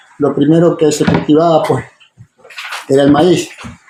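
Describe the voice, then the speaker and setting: A man's fairly high voice goes at a moderate pace, with noticeable background noise behind it. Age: 60s. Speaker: farmer. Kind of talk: casual talk to students.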